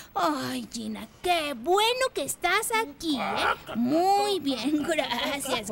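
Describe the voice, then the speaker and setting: A cartoonish character voice with a warm tone and high pitch moves at a very slow pace over clear background noise. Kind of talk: children's puppet show. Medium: puppet show. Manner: warm, effusive.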